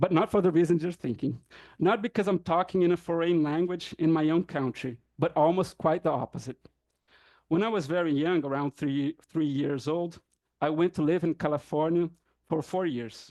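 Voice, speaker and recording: Against a quiet background, a man with a Brazilian accent talks at a moderate pace in a dark, mellow tone. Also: fairly high pitch for a man, ordinary pitch variation. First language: Brazilian Portuguese. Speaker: professor. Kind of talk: academic talk. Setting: conference panel with audience.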